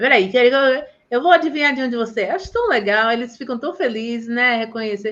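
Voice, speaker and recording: A woman speaks with a high pitch. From Bahia, Brazil. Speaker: teacher and live host. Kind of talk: casual live chat. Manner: animated.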